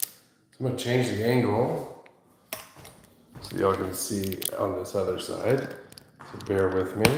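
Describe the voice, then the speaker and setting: Soft-spoken delivery with fairly even intonation and long, frequent pauses, amid audible room echo and noticeable background noise. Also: man, fairly low pitch for a man, moderate pace. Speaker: massage therapist. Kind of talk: live-stream massage demonstration. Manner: soft-spoken, talking low.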